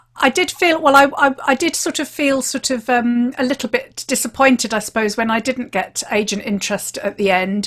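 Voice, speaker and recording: With a British accent, a woman speaks at a high pitch and a moderate pace, with ordinary pitch variation. She barely pauses, and the background is quiet. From England. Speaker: podcast host and crime writer; guest. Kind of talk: casual chat. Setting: video call. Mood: reflective, mildly wry. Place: home room.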